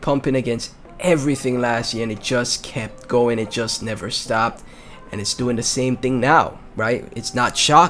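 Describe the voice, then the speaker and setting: Music plays in the background as the speaker, in a Caribbean accent, talks at a moderate pace in an animated tone. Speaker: crypto YouTuber. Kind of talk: casual commentary on crypto video.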